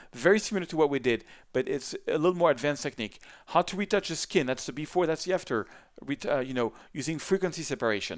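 Talking at a very fast pace with lively intonation, a man with a fairly high pitch comes through in a very clean recording with a silent background. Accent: French. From France, Paris. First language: French. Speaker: photographer and photo editing instructor. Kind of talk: tutorial. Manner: animated.

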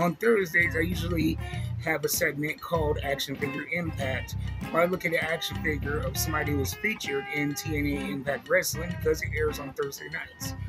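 A man speaks fairly quickly over clear music in the background. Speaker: action figure vlogger. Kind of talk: casual vlog chat. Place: home room. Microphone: phone near.

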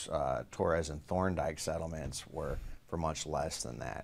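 A man speaks with a very deep, low pitch and vocal fry. Light background noise sits behind him. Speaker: news reporter. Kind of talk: interview answer. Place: studio. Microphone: studio mic.

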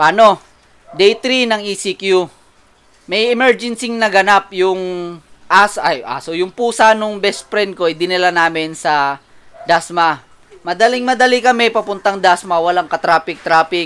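Pitch variation is ordinary. The speaker takes a fairly slow pace. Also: man, high pitch for a man. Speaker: vlogger. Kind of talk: angry rant, vlog. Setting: in a car. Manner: animated.

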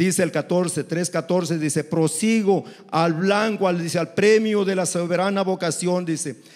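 A high-pitched man at a moderate pace against a quiet background. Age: 60s. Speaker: preacher. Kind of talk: sermon. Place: church. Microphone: handheld.

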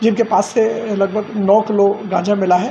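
Against light background noise, a man speaks with a high pitch. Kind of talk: official press statement. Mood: formal, calm.

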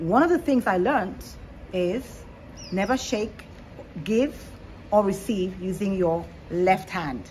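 Light background noise sits behind a very slow delivery with lively intonation and long, frequent pauses. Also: woman. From Nigeria. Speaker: panel guest; guest. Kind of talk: panel discussion. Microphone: phone near.

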